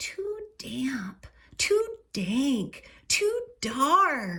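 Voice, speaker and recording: A woman's squeaky, put-on character voice, high-pitched, with very wide pitch swings. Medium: read story.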